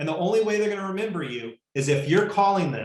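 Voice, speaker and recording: A man speaks with ordinary pitch variation. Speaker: real estate coach. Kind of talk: live webinar training. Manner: fast; animated.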